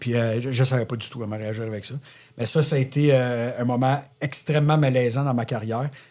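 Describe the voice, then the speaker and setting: Fairly quick speech from a man, its intonation fairly even. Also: medium pitch for a man. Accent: Quebec. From Quebec. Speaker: entrepreneur. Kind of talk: podcast interview. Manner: loud.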